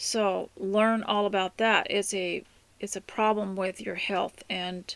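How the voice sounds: A woman speaks at medium pitch with a fairly bright tone and vocal fry. Her pace is fairly slow and her intonation fairly even.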